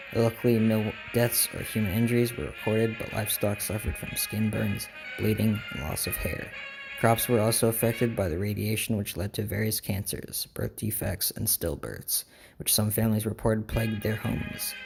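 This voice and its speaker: A man's fairly low voice at a moderate pace, fairly even intonation, and music in the background. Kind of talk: documentary-style historical narration.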